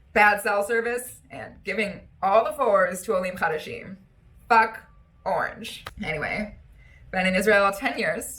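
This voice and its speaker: A woman's bright, sharp tone with an American accent. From US Midwest, Wisconsin (Milwaukee). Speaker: comedian. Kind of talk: stand-up.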